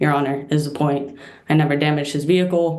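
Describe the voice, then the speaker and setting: A woman speaks at a fairly quick pace with fairly even intonation. Room echo is audible. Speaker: petitioner in court hearing. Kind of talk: court testimony.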